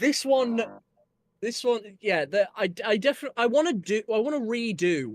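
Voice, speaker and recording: A man's high-pitched voice in a Yorkshire accent, fairly slow, with lively intonation. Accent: northern English (Yorkshire), in his singing. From northern England (Yorkshire). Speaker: musician. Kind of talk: casual chat. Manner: halting.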